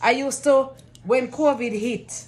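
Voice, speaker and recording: A woman speaks in a Jamaican accent. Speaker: care worker. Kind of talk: testimony.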